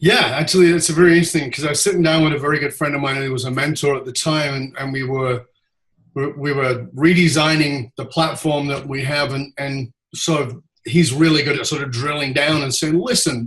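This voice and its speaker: Speaking at a fairly quick pace, a man has a fairly high pitch and fairly even intonation. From UK, moved around widely. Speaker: leadership speaker. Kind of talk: interview. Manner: dynamic.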